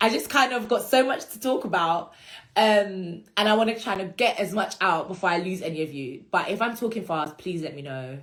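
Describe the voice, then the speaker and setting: A somewhat breathy voice with a British accent and very wide pitch swings. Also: woman. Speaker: law career content creator. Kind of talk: instagram live Q&A. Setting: Instagram live stream. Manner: fast.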